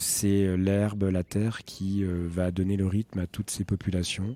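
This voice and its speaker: A man speaks fairly slowly in a fairly low, monotone voice with a dark, mellow tone. The sound is dry and close with no echo, in a very clean recording with a silent background. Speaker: heritage guide. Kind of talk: interview. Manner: hesitant.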